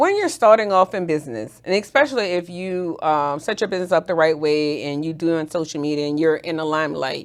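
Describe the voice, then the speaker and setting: On a very clean recording with a silent background, a woman with a New Orleans accent speaks at a fairly low pitch, with ordinary pitch variation and hardly any pauses. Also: fairly quick pace. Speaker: business strategist and nurse. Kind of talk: casual interview chat. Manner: animated.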